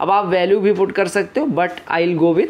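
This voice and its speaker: Ordinary pitch variation from a man keeping a moderate pace. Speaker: maths teacher. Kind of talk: tutorial. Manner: soft-spoken.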